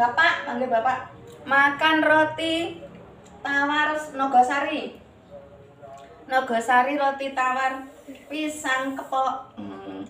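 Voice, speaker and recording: A woman's high, raised, projected voice at a very slow pace, with long, frequent pauses, fairly even intonation, audible room echo, and light background noise. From Java, Indonesia. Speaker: vlogger; grandmother vlogger. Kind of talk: cooking tutorial. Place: home room. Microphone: phone near.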